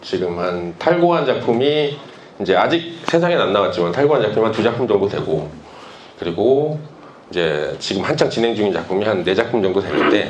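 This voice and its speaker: Very wide pitch swings from a man talking amid audible room echo and noticeable background noise. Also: medium pitch for a man, moderate pace. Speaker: webtoon artist. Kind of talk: conference talk.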